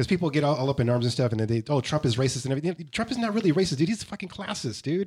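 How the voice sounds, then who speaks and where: The voice is somewhat breathy and races along at a very fast pace with very wide pitch swings. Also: man. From East Los Angeles. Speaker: podcast co-host and brewery founder. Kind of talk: casual interview chat.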